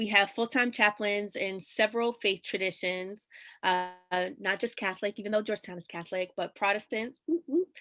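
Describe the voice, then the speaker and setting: Recorded very cleanly against a silent background, a woman in a New York accent speaks at medium pitch with a bright, sharp tone. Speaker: chaplain. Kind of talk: scripted presentation; interview answer.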